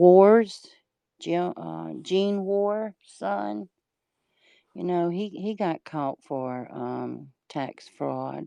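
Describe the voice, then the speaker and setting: A very slow pace in a Mississippi accent. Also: woman. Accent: Mississippi Southern. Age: 60s. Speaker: livestreamer. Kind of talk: casual chat.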